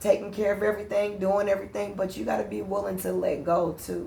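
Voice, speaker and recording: A woman speaks with vocal fry. Audible room echo is present. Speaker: podcast co-host. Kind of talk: casual chat. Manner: loud.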